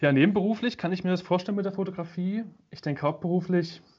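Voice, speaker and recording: A man talks at a fairly quick pace with ordinary pitch variation. He has a plain, everyday voice. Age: 20s. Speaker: media design student and photographer. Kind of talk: casual chat.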